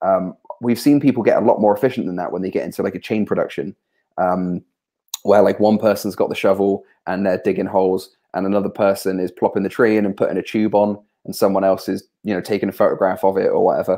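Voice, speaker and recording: A man speaks very fast in a West Country accent. The background is quiet. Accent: West Country farmer. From southwest England. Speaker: software developer and tree charity founder. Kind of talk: casual chat. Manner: hesitant, many fillers and repetitions.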